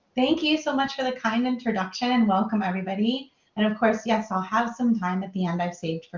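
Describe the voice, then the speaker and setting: Somewhat breathy and at a fairly quick pace, a woman talks with an American accent and ordinary pitch variation. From US Midwest, Minnesota. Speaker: design professional, guest lecturer. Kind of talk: lecture. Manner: casual, filler-heavy.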